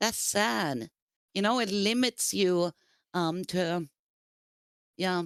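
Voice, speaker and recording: On a very clean recording with a silent background and a dry, close sound with no echo, a woman at medium pitch speaks at a very slow pace with lively intonation, very even loudness, and long, frequent pauses. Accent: non-native. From Sweden. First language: Swedish. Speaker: streamer. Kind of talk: casual chat. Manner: halting, searching for words.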